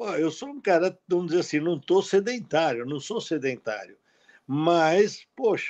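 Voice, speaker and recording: Lively intonation carries speech at a fairly slow pace. The background is quiet. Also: man. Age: 70s. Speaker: cardiologist; guest. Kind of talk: live webinar talk. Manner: animated. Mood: animated, cautionary. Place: home room. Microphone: video call.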